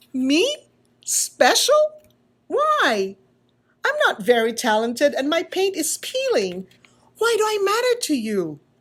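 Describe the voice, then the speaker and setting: Using a put-on character voice, a woman talks in a squeaky, extremely high pitch at a fairly slow pace. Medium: read story. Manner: timid, unsure.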